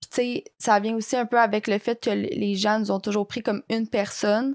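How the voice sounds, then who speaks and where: A woman's fairly high-pitched voice in a Quebec accent, flat and monotone, on a very clean recording with a silent background and a dry, close sound with no echo. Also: moderate pace. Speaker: podcast guest, identical twin. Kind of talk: casual chat.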